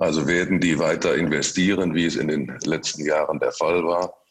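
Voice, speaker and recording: This man has a very deep, low voice. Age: 50s. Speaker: construction company managing director. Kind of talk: interview. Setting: video call. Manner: halting, many repetitions and fillers.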